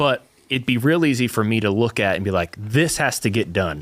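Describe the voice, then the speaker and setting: Someone with a slight Southern US accent speaks at a fairly quick pace. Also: man. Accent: slight Southern twang. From US South. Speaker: church podcast co-host. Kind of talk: casual chat.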